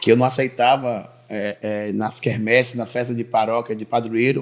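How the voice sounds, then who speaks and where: A man speaking at a moderate pace. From Bahia, Brazil (Teixeira de Freitas). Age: 30s. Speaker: businessman and local politician. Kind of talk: interview testimony. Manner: halting, repeats words.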